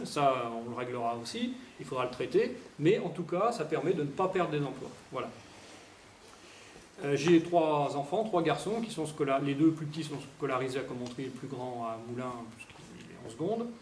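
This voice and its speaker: A man talks at a moderate pace with lively intonation. There is audible room echo and noticeable background noise. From France, Allier (Domérat near Montluçon). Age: 40s. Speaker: parliamentary candidate. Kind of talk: campaign speech at public meeting.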